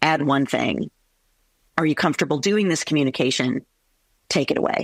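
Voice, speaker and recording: This woman's voice sits very deep and low, with vocal fry and ordinary pitch variation. The sound is dry and close, with no echo. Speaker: veterinarian. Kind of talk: interview.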